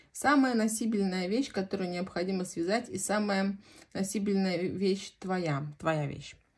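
A woman's somewhat breathy voice at a medium pitch, at a fairly slow pace with ordinary pitch variation. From Central Russia, Voronezh region. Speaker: knitting vlogger. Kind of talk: casual chat.

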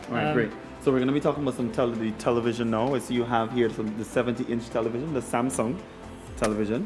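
Over clear music in the background, a man speaks at a very fast pace and medium pitch, with ordinary pitch variation. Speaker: interviewer. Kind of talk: infomercial interview questions. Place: shop. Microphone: handheld.

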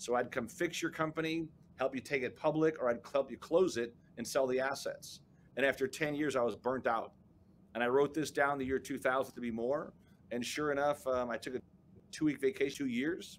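Against light background noise, a man with an American accent talks at a fairly quick pace in a fairly high voice. It is an ordinary speaking voice with fairly even intonation. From Chicago, South Side; Chicago. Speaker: business coach and entrepreneur; interview guest. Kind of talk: interview. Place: office.

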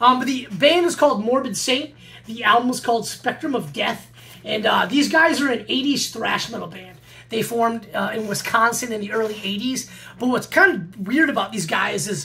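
A man speaks in a raised, projected voice at a moderate pace, with lively intonation. Light background noise is present. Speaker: metal vinyl collector vlogger. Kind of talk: casual vlog chat. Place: home room. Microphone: webcam.

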